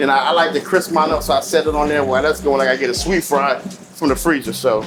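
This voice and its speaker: A man at a fairly high pitch and very fast pace, very even in loudness, with ordinary pitch variation and noticeable background noise. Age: 40s. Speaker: chef and restaurant owner. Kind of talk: casual interview while cooking. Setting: restaurant kitchen.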